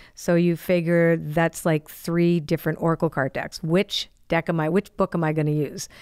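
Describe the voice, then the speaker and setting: A woman with a fairly low pitch and monotone, flat intonation at a moderate pace against a quiet background. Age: 60s. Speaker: podcast host. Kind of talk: casual chat. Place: studio. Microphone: studio mic.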